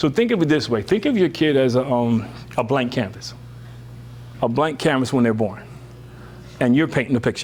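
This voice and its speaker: Speaking at a fairly quick pace with long, frequent pauses, a man of medium pitch shows vocal fry, ordinary pitch variation and very even loudness. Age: 60s. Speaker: workshop presenter on parenting. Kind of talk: workshop talk to parents. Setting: room with live audience. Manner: casual, conversational.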